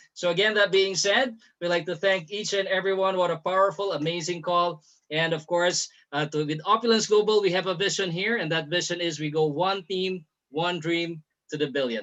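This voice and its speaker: A man talks in a high pitch. His pitch variation is ordinary. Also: moderate pace. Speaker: call host, business presenter. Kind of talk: sales pitch. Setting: online group call. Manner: well-spoken.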